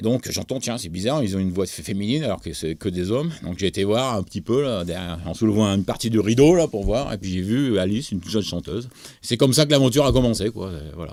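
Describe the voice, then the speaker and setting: A man speaks in a fairly low pitch. His pace is very fast. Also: hardly any pauses. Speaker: music producer and songwriter. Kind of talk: interview. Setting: studio. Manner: halting, many hesitations.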